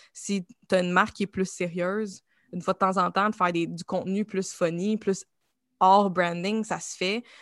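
With a Quebec accent, a woman talks at a moderate pace and medium pitch with fairly even intonation, the sound dry and close with no echo against a quiet background. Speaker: creative agency founder and art director. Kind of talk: interview.

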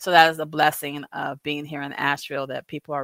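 Speaking at a very fast pace with an American accent, a woman has a very deep, low pitch and an animated tone. The sound is dry and close, with no echo. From Southern California. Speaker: entrepreneur and justice-system consultant. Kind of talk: casual interview. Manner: animated, laughing.

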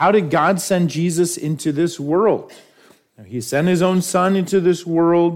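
A high-pitched man at a fairly slow pace, with audible room echo. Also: fairly even intonation. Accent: American. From New York. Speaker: pastor. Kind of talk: sermon.

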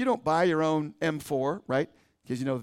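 With ordinary pitch variation, a man delivers his words at a very fast pace. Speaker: pastor. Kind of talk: sermon. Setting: church. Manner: fast talker.

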